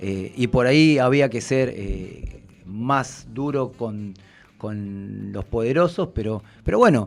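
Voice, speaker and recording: At a very slow pace, a man talks at medium pitch with ordinary pitch variation. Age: 40s. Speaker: political candidate, union representative. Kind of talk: radio interview. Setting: radio studio. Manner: hesitant, many fillers.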